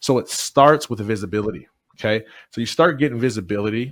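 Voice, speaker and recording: On a very clean recording with a silent background, a man with an ordinary speaking voice and an American accent talks at medium pitch and a fairly quick pace. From Michigan, US. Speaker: motivational speaker. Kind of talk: interview.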